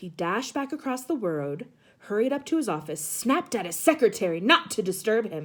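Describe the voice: Plain reading aloud is all this recording holds.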